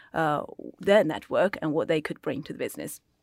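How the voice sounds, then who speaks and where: A woman with a Chinese accent speaks with lively intonation, the sound dry and close with no echo on a very clean recording with a silent background. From China, moved to UK at 14. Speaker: accounting firm China desk head. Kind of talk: panel discussion.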